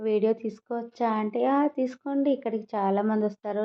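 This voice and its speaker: A woman with a fairly high pitch speaks with ordinary pitch variation. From Telangana, India. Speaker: vlogger. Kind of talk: travel vlog narration. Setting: outdoors, touring streets and shops.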